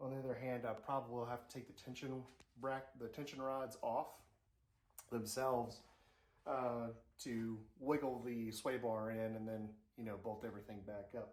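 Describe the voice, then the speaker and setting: Amid audible room echo, a man speaks in a flat monotone at a moderate pace, with long, frequent pauses. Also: medium pitch for a man. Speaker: car hobbyist vlogger. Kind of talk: casual how-to vlog.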